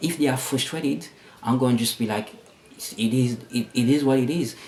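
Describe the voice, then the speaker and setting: A man speaks at medium pitch. Noticeable background noise is audible behind him. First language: not English (English is third language). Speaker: vlogger. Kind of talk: personal vlog monologue. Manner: halting, many repetitions and fillers.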